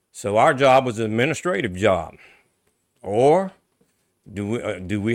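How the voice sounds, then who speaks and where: An American accent comes through. The speech moves at a moderate pace. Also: man. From Louisiana, Avoyelles Parish. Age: 60s. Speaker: local politician. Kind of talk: interview. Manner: halting.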